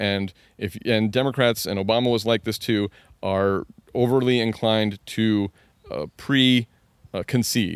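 On a very clean recording with a silent background, a man speaks in an unremarkable speaking voice at a medium pitch with ordinary pitch variation. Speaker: political comedian and commentator. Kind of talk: casual interview conversation.

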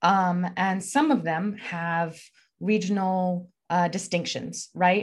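A woman with an American accent speaks at a fairly slow pace and fairly low pitch. Her voice is somewhat breathy, with ordinary pitch variation. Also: quiet background. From Texas. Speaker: journalist and author. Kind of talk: interview.

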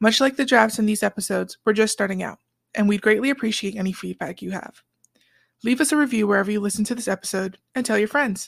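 A woman talks at a very fast pace in a fairly high, somewhat breathy voice with ordinary pitch variation. The very clean recording has a silent background and a dry, close sound with no echo. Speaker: podcast host. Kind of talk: scripted intro narration.

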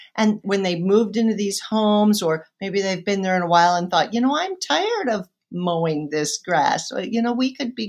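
A woman with a Midwestern American accent speaks at a medium pitch with lively intonation. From western Iowa, small town. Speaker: urban farmer and teacher. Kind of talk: interview conversation.

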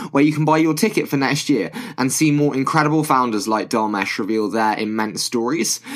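Using a plain, everyday voice, a man talks at a medium pitch, his pitch varying in an ordinary way. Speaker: podcast host. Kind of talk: podcast intro and outro.

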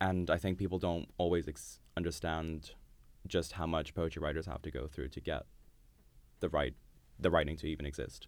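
Vocal fry at a moderate pace, with fairly even intonation and long, frequent pauses. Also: man, very deep, low pitch for a man. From Dubai, Iranian family. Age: 20s. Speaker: poet. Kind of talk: casual interview.

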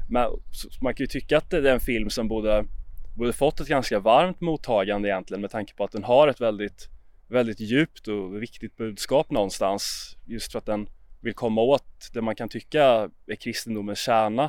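A plain, everyday voice with ordinary pitch variation at a moderate pace, in a very clean recording with a silent background. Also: man, medium pitch for a man. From Sweden, Jönköping. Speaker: podcast host. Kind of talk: casual discussion.

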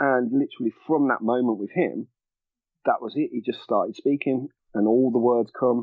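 In a Birmingham accent, a man of medium pitch speaks with fairly even intonation. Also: moderate pace. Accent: Brummie. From Birmingham, England. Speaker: parent blogger. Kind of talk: casual chat.

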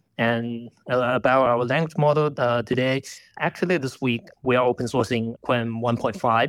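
In a Chinese accent, a man talks at a moderate pace and medium pitch, recorded very cleanly against a silent background with a dry, close sound and no echo. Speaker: AI dev team lead. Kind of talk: live audio space interview.

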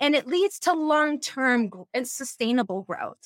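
Here is a woman with an American accent and a high pitch, talking at a moderate pace. The sound is dry and close, with no echo. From US Northeast. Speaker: social scientist and former therapist. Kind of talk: casual interview conversation. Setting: video call. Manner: animated.

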